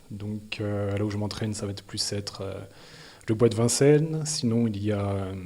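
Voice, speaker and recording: Fairly low in pitch, a man speaks with a dark, mellow tone and ordinary pitch variation. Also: moderate pace. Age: 20s. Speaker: amateur trail runner. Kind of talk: interview. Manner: hesitant, many fillers.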